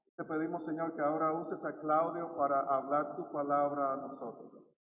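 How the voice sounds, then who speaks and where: A man with a fairly high pitch speaks at a fairly slow pace in a monotone, flat intonation, with audible room echo. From Dominican Republic. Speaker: pastor. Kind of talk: prayer; service announcement. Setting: church.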